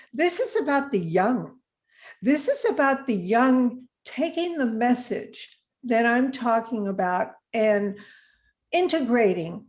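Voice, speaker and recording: A woman talks at a very slow pace over a quiet background. Her pitch is high. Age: 80s+. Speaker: age activist. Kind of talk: live stream interview. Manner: animated.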